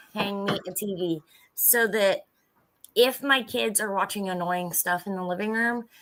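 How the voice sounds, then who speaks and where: A loud woman's voice, fairly high in pitch, bright and sharp in tone, with ordinary pitch variation at a fairly slow pace. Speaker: cooking livestream host. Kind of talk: casual chat.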